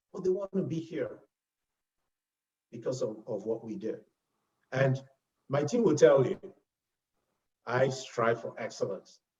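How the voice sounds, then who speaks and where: A man with a Nigerian accent at a fairly slow pace, with long, frequent pauses. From Nigeria (Lagos). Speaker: health insurance executive. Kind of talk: interview. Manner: animated.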